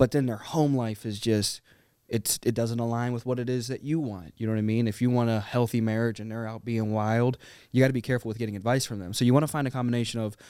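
A man's very fast, monotone, flat delivery at a medium pitch, with an American accent and a dark, mellow tone, in a very clean recording with a silent background. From US, Little Rock, Arkansas and Pittsburgh area. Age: 20s. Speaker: sales business partner. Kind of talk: casual interview.

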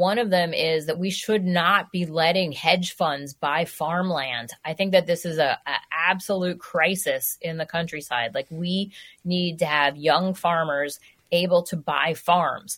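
Speaking fairly slowly with an American accent, a woman has an unremarkable speaking voice, fairly low in pitch, with ordinary pitch variation. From New York City. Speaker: food writer. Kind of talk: radio interview.

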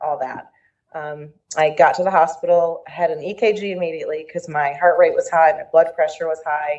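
A woman's ordinary speaking voice, fairly low in pitch, with ordinary pitch variation and a moderate pace. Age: 40s. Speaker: cancer patient and special education assistant. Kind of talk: interview.

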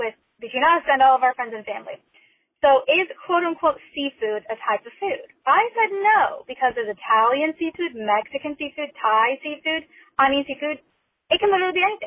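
A woman talks at a moderate pace with an American accent. Her intonation is lively. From Oregon. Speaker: listener voicemail caller. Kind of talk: recorded voicemail question.

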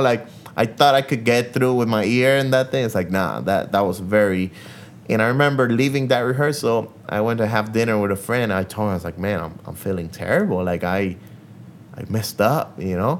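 A man speaks with a Spanish accent at a fairly quick pace. His intonation is lively. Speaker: guitarist. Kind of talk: casual interview chat. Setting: in an apartment. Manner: talkative.

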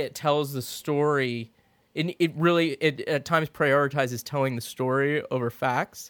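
A man with an American accent, fairly high pitch and fairly even intonation, an ordinary speaking voice. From Florida. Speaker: podcast co-host. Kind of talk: casual chat.

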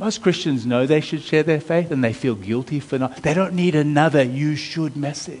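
A man with an American accent speaks in an unremarkable speaking voice at a fairly high pitch. His pace is moderate, his pitch variation ordinary, and there are hardly any pauses. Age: 50s. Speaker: pastor. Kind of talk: sermon.

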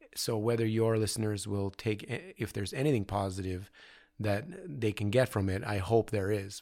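This very clean recording has a silent background. A man with a fairly low voice and an ordinary speaking voice talks with a Canadian accent and fairly even intonation. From Canada, London, Ontario. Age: 40s. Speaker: visual artist. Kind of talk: casual interview. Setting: artist studio.

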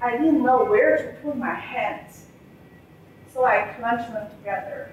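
Noticeable background noise runs through the clip. A woman speaks at a fairly slow pace, her fairly high pitch showing ordinary variation. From China. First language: Mandarin Chinese. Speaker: civil engineer. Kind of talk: prepared speech. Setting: stage with audience.

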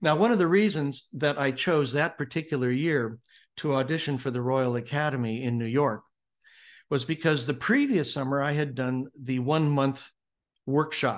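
With an American accent and an ordinary speaking voice, a man talks at a medium pitch and moderate pace with ordinary pitch variation over a quiet background. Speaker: speaker and author, former actor. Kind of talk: interview, storytelling about his book. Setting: video call from Hawaii.

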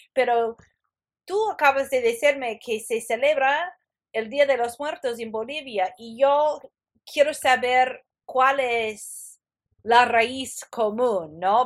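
On a very clean recording with a silent background, a woman with an English accent speaks at a very slow pace with a high pitch and ordinary pitch variation. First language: English (speaking Spanish). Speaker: podcast host. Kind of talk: interview.

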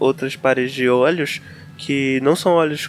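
Against noticeable background noise, a man speaks in a monotone with flat intonation. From Belém, Pará, Brazil. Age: 20s. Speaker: biologist. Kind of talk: casual chat.

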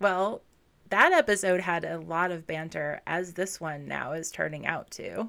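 Delivered at a fairly slow pace, the voice carries a bright, sharp tone with vocal fry and ordinary pitch variation. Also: woman, fairly low pitch for a woman. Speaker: podcast co-host. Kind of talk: casual chat and storytelling. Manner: laughs often.

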